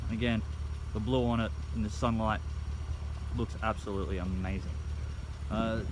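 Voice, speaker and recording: A man's very deep, low pitch at a fairly quick pace, lively intonation, dry sound with no echo, and noticeable background noise. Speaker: car salesman. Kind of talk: casual sales walkthrough. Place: open country. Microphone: phone near.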